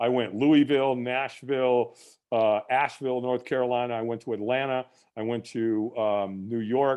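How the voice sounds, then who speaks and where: Delivery moves at a moderate pace, with fairly even intonation. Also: man. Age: 60s. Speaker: firewalk instructor and business owner. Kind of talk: podcast interview. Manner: repetitive and halting with frequent restarts.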